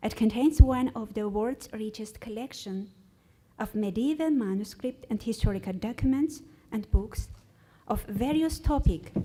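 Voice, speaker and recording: A somewhat breathy woman with an Armenian accent, fairly high-pitched, dark and mellow in tone, with ordinary pitch variation at a moderate pace. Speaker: researcher. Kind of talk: conference presentation. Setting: stage with audience. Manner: halting.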